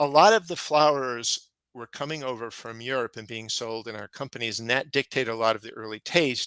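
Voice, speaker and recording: A man talks at a fairly quick pace with hardly any pauses, in a bright, sharp tone with big swings in loudness. The sound is dry and close with no echo, on a very clean recording with a silent background. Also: medium pitch for a man, ordinary pitch variation. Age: 60s. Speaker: gardening author and seed saver. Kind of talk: conference presentation. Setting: conference session with audience.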